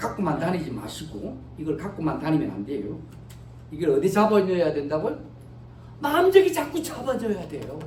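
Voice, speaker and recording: The speech runs at a fairly quick pace with long, frequent pauses, over noticeable background noise. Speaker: pastor. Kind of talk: sermon. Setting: church. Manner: code-switching between Korean and English.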